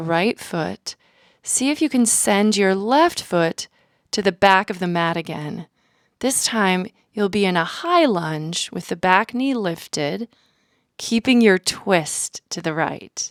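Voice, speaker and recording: A soft-spoken woman with a medium pitch and ordinary pitch variation talks at a very slow pace in a calm tone, the sound dry and close with no echo. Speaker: yoga instructor. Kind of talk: guided yoga class instruction, audio only. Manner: clear, soft-spoken, calm.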